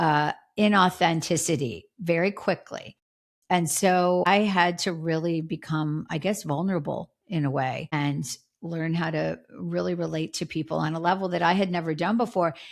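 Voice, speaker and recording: A woman with an American accent, a normal speaking voice, and a moderate pace, on a very clean recording with a silent background. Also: fairly low pitch for a woman, fairly even intonation. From US Northeast, Philadelphia. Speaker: former TV crime reporter, author. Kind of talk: podcast interview.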